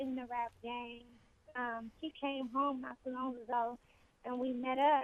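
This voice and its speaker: Her pitch high and her intonation monotone and flat, a woman speaks at a fairly slow pace. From Los Angeles, California. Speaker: rapper. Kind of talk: radio interview.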